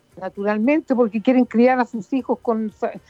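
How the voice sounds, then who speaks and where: A woman speaks at a fairly high pitch with ordinary pitch variation and a moderate pace. The sound is dry and close with no echo, and music plays in the background. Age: 70s. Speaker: radio host and doctor. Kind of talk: talk radio chat.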